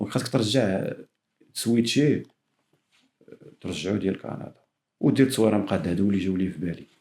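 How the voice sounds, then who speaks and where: A man with a fairly low pitch and a dark, mellow tone talks at a very fast pace. Long, frequent pauses break up his speech, which has ordinary pitch variation. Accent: Moroccan. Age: young. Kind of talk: casual podcast conversation.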